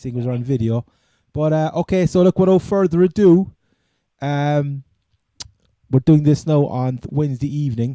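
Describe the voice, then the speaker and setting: At a moderate pace, a man with a Cork accent speaks in a dark, mellow tone at a fairly high pitch with ordinary pitch variation, taking long, frequent pauses in a dry, close sound with no echo. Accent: Cork Irish. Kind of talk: casual sports podcast talk. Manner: casual, hesitant.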